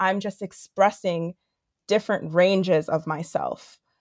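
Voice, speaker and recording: A woman talks at a moderate pace with an ordinary speaking voice at medium pitch. The sound is dry and close with no echo, on a very clean recording with a silent background. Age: 20s. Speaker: actress and creative director. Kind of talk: casual interview.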